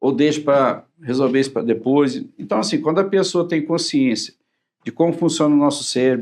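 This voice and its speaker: Talking at a moderate pace, a man with a fairly high pitch has an ordinary speaking voice. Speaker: cardiologist. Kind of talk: TV talk-show interview.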